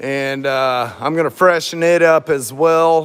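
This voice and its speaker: A fairly high-pitched man with an American accent and fairly even intonation. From US South (Florida, Tennessee, Kentucky). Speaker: auto body and welding fabricator. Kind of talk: casual shop talk while working, answering viewers.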